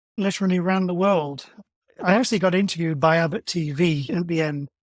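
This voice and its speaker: Talking at a very fast pace with a British accent, a man uses a high pitch with ordinary pitch variation. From England. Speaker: amateur marathon runner. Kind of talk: podcast interview.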